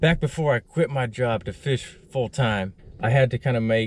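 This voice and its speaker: The recording is dry with no echo and has light background noise. A man talks with ordinary pitch variation. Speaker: full-time fishing content creator. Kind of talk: casual talk to camera. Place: car. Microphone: phone near.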